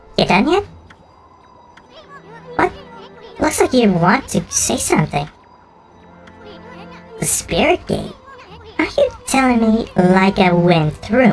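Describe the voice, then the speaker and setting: In a put-on character voice, a man talks at a high pitch and a fairly slow pace with long, frequent pauses. Faint music plays in the background. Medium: virtual streamer. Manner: brash, cocky.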